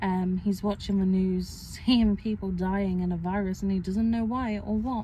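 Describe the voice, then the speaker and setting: Her tone dark and mellow, a woman speaks somewhat breathily at a medium pitch and a fairly slow pace, in a monotone, flat delivery. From Wales. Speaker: vlogger. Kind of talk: casual chat. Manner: hesitant, filler-heavy.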